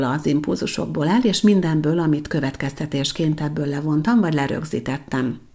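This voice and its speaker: A woman's very deep, low voice, dark and mellow in tone, with ordinary pitch variation at a moderate pace. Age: 40s. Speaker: podcast host, personal development consultant. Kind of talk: solo monologue podcast.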